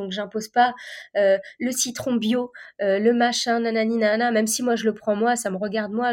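The recording is very clean, with a silent background. A woman speaks at a fairly high pitch in a monotone, flat intonation. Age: 30s. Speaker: chef. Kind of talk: casual chat.

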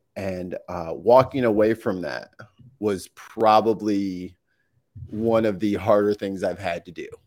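A man's fairly low voice, an ordinary speaking voice, at a fairly slow pace with ordinary pitch variation and big swings in loudness, on a very clean recording with a silent background. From US Midwest, St. Louis. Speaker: streamer and audio producer. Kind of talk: casual interview chat. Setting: live stream.

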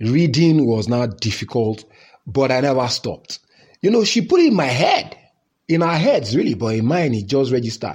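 The man's medium-pitched voice is somewhat breathy. He moves at a moderate pace with lively intonation. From Nigeria. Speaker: podcast host telling his life story. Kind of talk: personal storytelling memoir. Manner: casual, conversational, code-switching into Pidgin.

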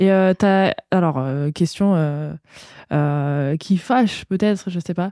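A woman's medium-pitched voice, dark and mellow in tone, moves very slowly with long, frequent pauses and ordinary pitch variation, recorded dry and close with no echo. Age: 20s. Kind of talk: casual interview chat; scripted intro.

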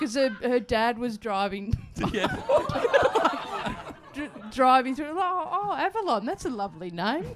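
A woman with an Australian accent, high-pitched with very wide pitch swings, at a fairly slow pace over noticeable background noise. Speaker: radio presenter and comedian. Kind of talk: casual chat. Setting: stage with audience.

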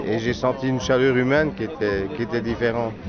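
Medium-pitched male speech, fairly slow, amid noticeable background noise. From Belgium. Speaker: wine blogger. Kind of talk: casual chat.

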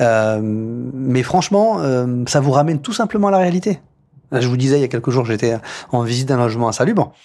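A man speaks at a medium pitch with a dark, mellow tone. His pace is moderate and his intonation is lively. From France, Paris outskirts (Poissy, Yvelines). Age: 30s. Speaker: mayor. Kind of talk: interview. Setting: office at town hall.

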